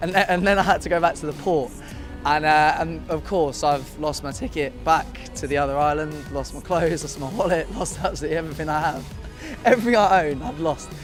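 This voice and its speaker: With music in the background, a man talks at a fairly quick pace in an English accent. His pitch is fairly high, with ordinary pitch variation. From England. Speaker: video game industry worker. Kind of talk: interview answer. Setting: outdoors at a music festival. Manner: casual, hesitant.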